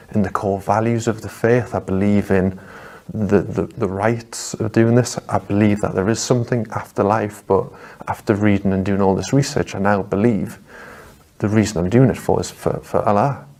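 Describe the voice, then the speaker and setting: There is noticeable background noise as a man speaks at a moderate pace in a fairly low pitch with fairly even intonation. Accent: Geordie. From northeast England, Newcastle. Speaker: convert to Islam. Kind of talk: testimony. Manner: halting, repeats words.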